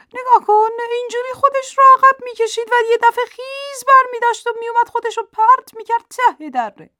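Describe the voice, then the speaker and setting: A woman with an extremely high pitch and a bright, sharp tone projects a raised voice at a fairly quick pace, her loudness swinging widely, in a dry, close sound with no echo. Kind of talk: storytelling narration of a children's fable. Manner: animated, playful, voicing the flattering fox and the boastful lion.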